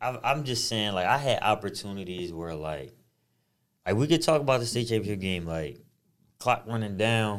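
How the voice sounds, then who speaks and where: Here is a man with a plain, everyday voice pitched fairly low. His intonation is lively, and his pace is moderate. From Harrisburg, Pennsylvania, US. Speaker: podcast co-host, former basketball player. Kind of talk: casual chat.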